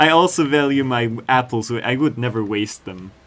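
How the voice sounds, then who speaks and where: Talking at a very slow pace, this man speaks. His pitch varies in an ordinary way. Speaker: game developer streamer. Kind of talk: livestream chat with viewers. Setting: live stream.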